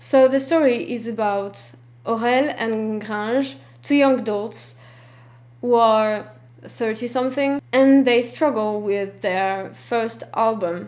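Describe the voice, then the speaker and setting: With a French accent, the speaker talks at a very slow pace with ordinary pitch variation, and the room echo is audible. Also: woman, fairly high pitch for a woman. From France. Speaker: film vlogger. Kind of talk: scripted vlog talk. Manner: stiff, reading from script.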